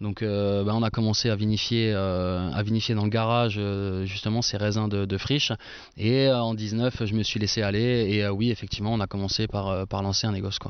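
Flat and monotone in intonation, a man speaks at a moderate pace with a fairly low pitch. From Franche-Comté, eastern France. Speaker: winemaker. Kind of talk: casual chat. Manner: hesitant, many fillers.

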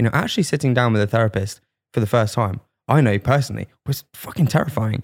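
A somewhat breathy man speaks at a very fast pace and medium pitch, with ordinary pitch variation and very even loudness. The recording is very clean with a silent background and a dry, close sound with no echo. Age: 20s. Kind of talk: casual chat.

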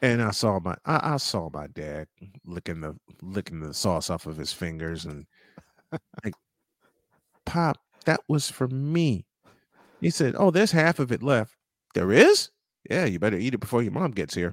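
Recorded with a dry, close sound and no echo, a man speaks at a moderate pace with long, frequent pauses. His fairly low pitch makes very wide swings. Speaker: sports radio host. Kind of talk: casual interview, talk show. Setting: studio, broadcast live.

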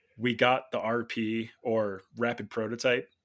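In a very clean recording with a silent background, a man with an American accent talks very slowly at a medium pitch. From Illinois, US Midwest. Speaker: bicycle product designer. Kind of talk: casual interview.

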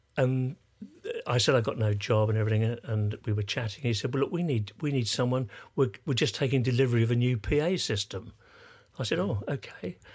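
A man with an English accent speaks at a fairly quick pace in a medium pitch, sounding somewhat breathy. His pitch varies in an ordinary way, and the recording is very clean with a silent background. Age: 80s+. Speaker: sound engineer and musician. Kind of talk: casual interview. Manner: halting.

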